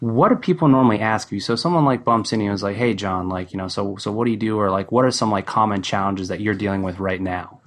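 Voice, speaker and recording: Over noticeable background noise, a man with an American accent speaks very fast in a fairly low pitch, with ordinary pitch variation and hardly any pauses. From New Jersey. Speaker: podcast host. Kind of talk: podcast interview.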